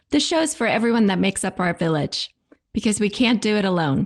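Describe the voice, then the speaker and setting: In a very clean recording with a silent background, a woman with a fairly high voice makes very wide pitch swings. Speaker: podcast host. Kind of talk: podcast intro.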